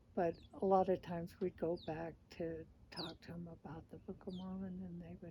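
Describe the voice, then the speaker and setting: Somewhat breathy and dark, mellow in tone, a woman talks at a medium pitch with fairly even intonation. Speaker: former missionary. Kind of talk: interview answer.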